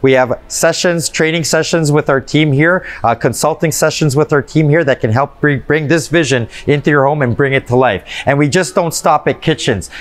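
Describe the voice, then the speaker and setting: Hardly pausing, a man speaks at a moderate pace with very even loudness and ordinary pitch variation. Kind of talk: interview answer. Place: shop.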